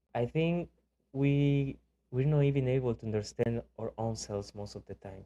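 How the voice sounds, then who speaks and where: At a medium pitch, a man speaks in a dark, mellow tone with big swings in loudness. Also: ordinary pitch variation, moderate pace. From Mexico. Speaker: podcast co-host. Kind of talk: casual chat.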